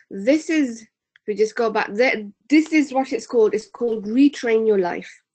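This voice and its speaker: A woman with a British accent speaks at a moderate pace. Her pitch is fairly high and varies in an ordinary way. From UK. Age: 30s. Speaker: personal development trainer. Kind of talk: webinar presentation. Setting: online webinar.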